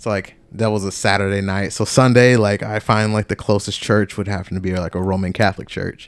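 With an American accent and a plain, everyday voice, a man talks at a moderate pace on a very clean recording with a silent background. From US South, Georgia. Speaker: podcast co-host, army veteran. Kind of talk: testimony. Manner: casual, filler-heavy speech.

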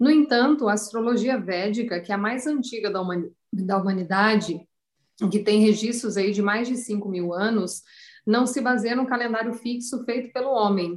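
Her pitch runs fairly high. The woman's voice carries a somewhat breathy quality. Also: ordinary pitch variation, moderate pace. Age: 40s. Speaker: astrologer. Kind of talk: interview.

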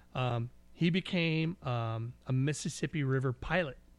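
An ordinary speaking voice, a man with an American accent talks at a fairly slow pace with ordinary pitch variation. The recording is very clean, with a silent background. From California foothills. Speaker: podcast co-host. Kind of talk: casual chat.

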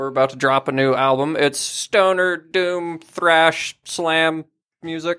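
A man's bright, sharp voice at a very slow pace, with fairly even intonation and a dry, close sound without echo. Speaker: bassist in a band. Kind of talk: casual banter, comedic podcast chat.

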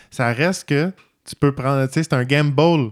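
A man's fairly high-pitched voice, an ordinary speaking voice, at a moderate pace in a dry, close sound with no echo. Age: 40s. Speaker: podcast co-host. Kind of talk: casual chat.

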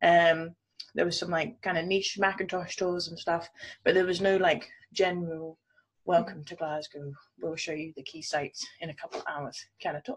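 Speaking at a moderate pace in an ordinary speaking voice, a woman with a fairly low pitch keeps her intonation fairly even while her loudness swings widely. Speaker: entrepreneur and podcast co-host. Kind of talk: casual chat.

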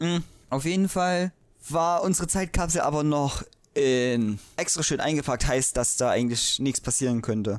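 Set against a silent background in a very clean recording, the speaking proceeds at a moderate pace. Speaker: podcast co-host. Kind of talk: casual chat.

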